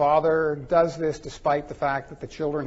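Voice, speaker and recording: A man speaks with a somewhat breathy voice. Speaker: forensic psychologist presenter. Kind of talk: conference presentation. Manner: fast.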